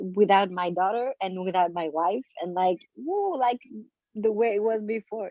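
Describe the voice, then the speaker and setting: A woman speaks at medium pitch with a French accent. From France. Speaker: comedian and actress. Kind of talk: casual chat. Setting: video call.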